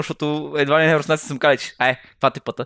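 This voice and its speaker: Recorded dry and close with no echo, a man rattles along at a very fast pace. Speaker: podcast co-host, comedian. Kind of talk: casual comedic chat.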